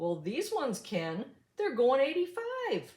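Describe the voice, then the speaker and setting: A woman uses a put-on character voice, high in pitch with very wide pitch swings. She speaks at a fairly slow pace. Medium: read story. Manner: hollering.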